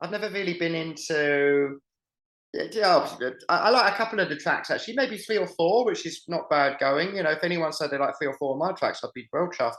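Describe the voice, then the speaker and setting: A man with a southern English accent, high-pitched, fairly quick, with ordinary pitch variation. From southern England. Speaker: musician. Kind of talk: interview. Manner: animated.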